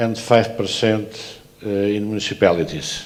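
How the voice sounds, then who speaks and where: Fairly low-pitched man in a Portuguese accent, moderate pace, fairly even intonation. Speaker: transport authority president. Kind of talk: conference presentation. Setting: conference. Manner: halting, many filler sounds.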